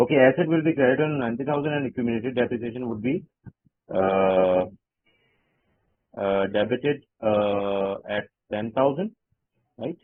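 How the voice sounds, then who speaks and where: A voice with ordinary pitch variation moves at a moderate pace, broken by long, frequent pauses. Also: man, medium pitch for a man. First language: not English. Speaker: job candidate, finance systems consultant. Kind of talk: job interview. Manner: halting, many fillers.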